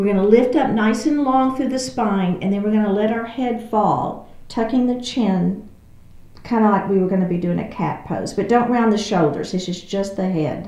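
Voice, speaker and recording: Amid noticeable background noise and audible room echo, a woman with a Texas accent speaks at a moderate pace and medium pitch with ordinary pitch variation. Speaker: yoga instructor. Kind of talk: guided exercise class.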